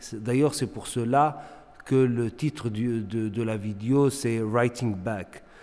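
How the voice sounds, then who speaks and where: Very slowly, a man speaks with a dark, mellow tone at a medium pitch. His intonation is fairly even. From Morocco, Tangier. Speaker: visual artist. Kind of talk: interview. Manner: halting, many repetitions and fillers.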